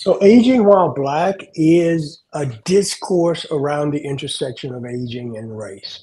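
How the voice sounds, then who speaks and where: A man with an American accent, fairly high-pitched, at a fairly slow pace with hardly any pauses, very wide pitch swings and big swings in loudness. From US South. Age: 60s. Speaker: aging advocate. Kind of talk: panel conversation.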